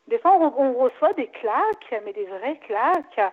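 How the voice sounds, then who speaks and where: This woman speaks at a moderate pace. Her pitch swings very widely. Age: 40s. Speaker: caller. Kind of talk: phone consultation.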